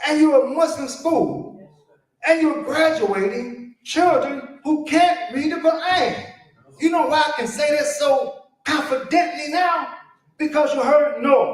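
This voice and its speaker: This man's voice sits at an extremely high pitch, with ordinary pitch variation and an animated tone. He speaks at a fairly slow pace, and there is audible room echo. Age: 70s. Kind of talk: conference talk.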